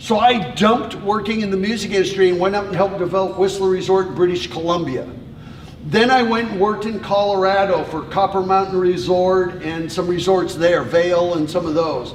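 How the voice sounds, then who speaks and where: A loud man talks at a fairly quick pace in a high pitch with fairly even intonation. Audible room echo and noticeable background noise fill the recording. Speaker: tourism consultant. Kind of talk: informal presentation to a group.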